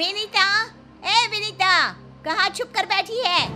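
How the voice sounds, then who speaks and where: Shouting loudly in a put-on character voice at an extremely high pitch, a woman keeps a fairly slow pace while clear music plays in the background. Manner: shouting, calling out loudly.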